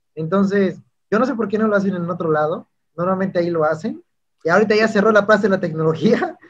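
Against a quiet background, a man talks at a very fast pace. His pitch is high, with ordinary variation. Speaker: YouTube interviewer. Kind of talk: interview. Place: home room. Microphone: studio mic.

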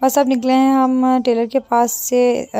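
A woman speaks with a dry sound and no echo. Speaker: mother vlogger. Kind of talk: casual vlog chat. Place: car. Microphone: phone near.

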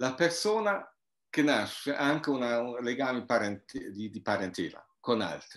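With a German accent, a man talks at a fairly slow pace with lively intonation against a quiet background. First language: German (speaking Italian). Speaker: anthropologist and author; guest. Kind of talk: interview. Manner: halting. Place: home room. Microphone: video call.

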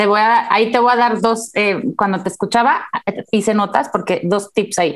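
Against a quiet background, a woman with a plain, everyday voice speaks at a moderate pace and a fairly high pitch, her intonation fairly even and her loudness very even. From Mexico. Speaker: neuropsychologist; guest. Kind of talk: interview. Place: home room. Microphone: earbuds.

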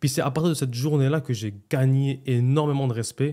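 A man talks in a dark, mellow tone over a quiet background. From Montreal, Quebec. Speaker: restaurant owner, entrepreneur; podcast guest. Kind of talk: casual interview, life story. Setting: podcast studio. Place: studio. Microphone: studio mic.

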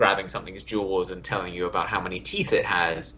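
A man speaks with a British accent. Light background noise can be heard. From Australia. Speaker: museum worker. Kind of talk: podcast interview answer. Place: home room. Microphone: video call.

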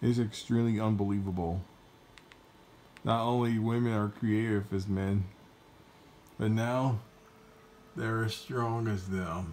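Fairly even intonation at a fairly slow pace, with long, frequent pauses and light background noise. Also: man, fairly low pitch for a man. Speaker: reaction video commentator. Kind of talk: casual reaction commentary. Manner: hesitant, halting. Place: home room. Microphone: phone near.

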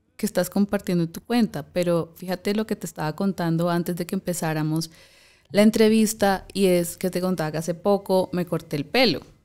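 Against a quiet background, a woman speaks at a fairly quick pace with a fairly low pitch, a dark, mellow tone and fairly even intonation. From Colombia, Valledupar; Colombia. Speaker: podcast host. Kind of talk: interview conversation. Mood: warm, appreciative. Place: studio. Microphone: studio mic.

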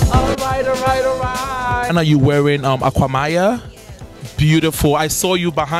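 Music plays behind a man whose high pitch makes very wide swings as he talks at a moderate pace. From Ghana. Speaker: TV host. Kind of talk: TV presenter read to camera. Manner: upbeat.

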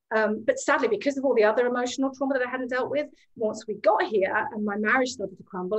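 A woman at a very fast pace, ordinary pitch variation, quiet background. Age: 40s. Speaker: emotional healing practitioner; guest. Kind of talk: casual interview chat. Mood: earnest, reflective. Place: home room. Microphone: video call.

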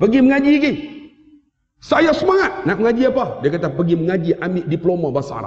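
Loud and animated, a man with a Malaysian accent speaks with very wide pitch swings. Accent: Malaysian Malay. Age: 50s. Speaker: Islamic teacher and preacher. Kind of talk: sermon and religious lecture with humor. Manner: loud, animated. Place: hall. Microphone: headset.

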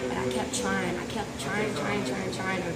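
Loud background noise fills the clip. Over it, a woman speaks at a fairly quick pace. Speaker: interviewee. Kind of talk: interview answer. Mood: upbeat, playful. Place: empty room.

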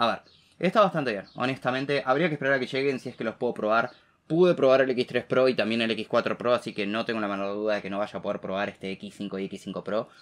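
In a Rioplatense accent, a man talks at a very fast pace with ordinary pitch variation. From Argentina. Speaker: tech YouTuber. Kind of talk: tech news commentary to camera. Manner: casual, many fillers. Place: home room.

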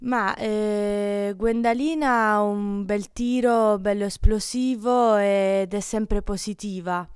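Against a quiet background, a woman talks at a very slow pace with hardly any pauses and fairly even intonation. The sound is dry, without echo. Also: medium pitch for a woman. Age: 20s. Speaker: archer; interviewee. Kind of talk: interview. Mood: relaxed, smiling. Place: gym. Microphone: handheld.

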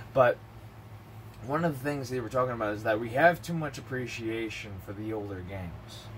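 A man's speech, moderately paced and with normal rises and falls in pitch, sits over a faint layer of background noise. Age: 30s. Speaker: gaming vlogger. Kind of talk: casual monologue. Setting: home recording. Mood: relaxed, chatty. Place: home room. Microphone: webcam.

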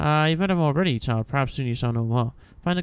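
This is plain reading aloud. Nothing else is described.

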